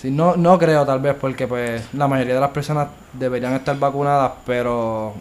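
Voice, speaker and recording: With an unremarkable speaking voice, the speaker keeps a moderate pace and fairly even intonation. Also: man, medium pitch for a man. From Puerto Rico, Bayamón. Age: 20s. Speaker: university student. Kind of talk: casual chat.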